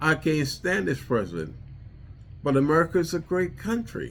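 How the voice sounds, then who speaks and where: A man speaks at a fairly slow pace with a Trinidadian accent. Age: 70s. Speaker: war veteran and vlogger. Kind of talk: personal monologue vlog. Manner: halting, repetitive.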